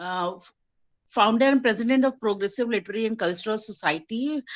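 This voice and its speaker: A woman with an Indian accent speaks at a fairly high pitch. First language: Hindi. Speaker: poet and English lecturer. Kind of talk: poetry reading at online open mic. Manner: halting, many fillers.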